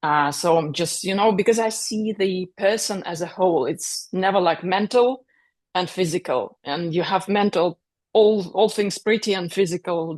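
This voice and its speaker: Against a quiet background, a woman with a non-native accent talks at a fairly slow pace in a medium pitch with ordinary pitch variation. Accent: foreign. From Russia. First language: Russian. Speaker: author and speaker. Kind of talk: interview.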